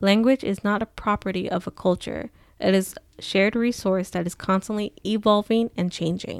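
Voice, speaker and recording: A woman speaks at a medium pitch with fairly even intonation, in an ordinary speaking voice. The recording is very clean, with a silent background. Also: moderate pace, dry, close sound with no echo. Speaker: podcast co-host.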